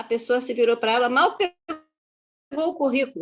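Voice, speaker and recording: Her intonation is lively and her pace fairly quick. The woman's voice sits at a high pitch. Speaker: psychologist. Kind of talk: class discussion, personal testimony.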